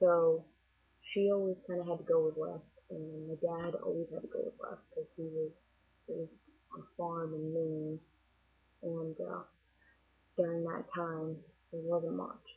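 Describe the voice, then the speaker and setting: Speaking with an American accent, a woman moves at a fairly slow pace, with long, frequent pauses. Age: 20s. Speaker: vlogger. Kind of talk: casual vlog monologue. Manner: casual, hesitant with fillers.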